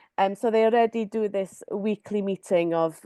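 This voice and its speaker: The voice has a dark, mellow tone and a Welsh accent, with ordinary pitch variation at a moderate pace. The sound is dry and close with no echo, against a quiet background. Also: woman. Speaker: community artist. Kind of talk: webinar presentation. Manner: hesitant, many fillers.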